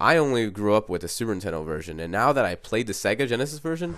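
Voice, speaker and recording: Music plays in the background as a man talks. He moves at a fairly quick pace with very wide pitch swings. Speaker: video game reviewer. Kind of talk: casual video game commentary narration.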